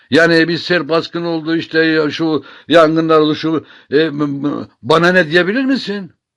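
A man's fairly high-pitched voice at a fairly slow pace, in a very clean recording with a silent background. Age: 60s. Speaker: poet and columnist. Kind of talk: informal talk to camera on literature. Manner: halting, many filler sounds.

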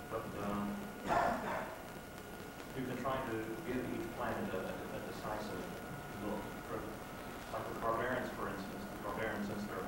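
A man's voice under loud background noise, with audible room echo. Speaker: comic book artist and writer on a convention panel. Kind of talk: convention panel Q&A answer. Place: hall. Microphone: camera far.

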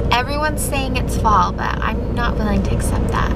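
A woman speaks over loud background noise. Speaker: parent vlogger driving. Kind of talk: casual vlog chat. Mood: cheerful, a bit harried. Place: car. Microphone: phone near.

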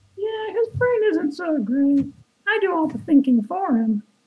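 In a put-on character voice with a high pitch, the speaker swings very widely in pitch while keeping a moderate pace. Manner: cocky, mocking.

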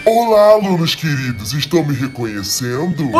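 A put-on character voice moves at a moderate pace. Clear music plays in the background. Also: man, fairly high pitch for a man. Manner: eerie, sweet and menacing.

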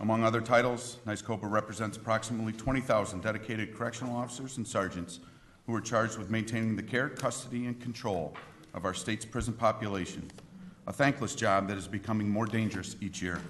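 A man talking at a very fast pace with fairly even intonation, over light background noise. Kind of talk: formal testimony. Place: hall. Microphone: podium.

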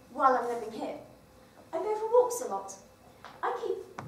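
With very wide pitch swings, a woman talks at a moderate pace amid audible room echo and light background noise. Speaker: actor performing monologues. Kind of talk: theatrical monologue. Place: stage. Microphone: camera far.

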